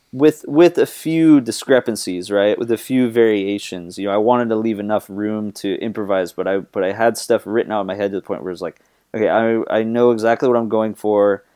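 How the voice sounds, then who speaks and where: In a normal speaking voice, a man talks at a fairly quick pace with hardly any pauses, his pitch fairly low with ordinary variation. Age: 20s. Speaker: guitarist and singer. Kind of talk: casual chat.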